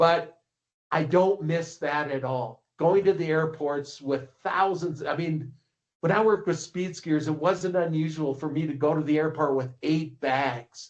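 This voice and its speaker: Speaking at a fairly slow pace, a man has an unremarkable speaking voice, fairly high pitch and ordinary pitch variation. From Minnesota, US. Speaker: ski coach and publisher. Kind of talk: casual interview.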